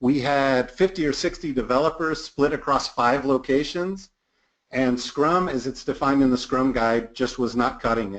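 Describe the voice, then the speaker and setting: An unremarkable speaking voice from a man with an American accent, fairly high pitch, ordinary pitch variation and a moderate pace, against a quiet background. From United States. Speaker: product management consultant and trainer. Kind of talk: webinar presentation. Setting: online webinar.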